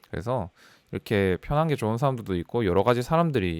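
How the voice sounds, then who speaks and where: Lively intonation marks a man talking at a very fast pace in a medium pitch. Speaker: data scientist. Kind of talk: personal career story talk. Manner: talkative, casual.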